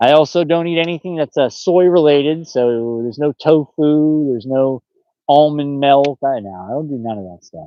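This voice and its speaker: Speaking with an American accent at a moderate pace, a man has a fairly high pitch, ordinary pitch variation and big swings in loudness. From upstate New York. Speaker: fishing live streamer, army veteran. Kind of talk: casual live stream chat. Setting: outdoors on a boat. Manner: animated.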